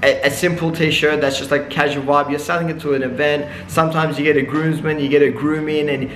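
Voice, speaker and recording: The man's intonation is monotone and flat. Light background noise and audible room echo are present. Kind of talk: casual vlog chat. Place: shop.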